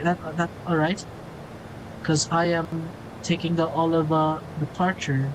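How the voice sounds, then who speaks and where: In a Filipino accent, a woman with a fairly low pitch speaks at a moderate pace over noticeable background noise. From Philippines. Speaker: flight sim streamer. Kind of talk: live gameplay stream commentary.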